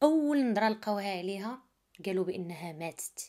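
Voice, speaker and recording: A woman's dark, mellow voice with a Moroccan accent, medium in pitch and moderate in pace. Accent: Moroccan Arabic (Darija). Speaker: true crime storyteller. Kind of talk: narrated true crime story. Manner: casual, conversational.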